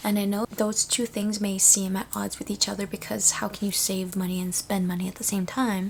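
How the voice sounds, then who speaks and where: A soft-spoken woman at a fairly quick pace, with monotone, flat intonation. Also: medium pitch for a woman, hardly any pauses. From Canada, Toronto (immigrated from Philippines at about 10). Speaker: vlogger. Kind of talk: casual chat. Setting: at home, at night.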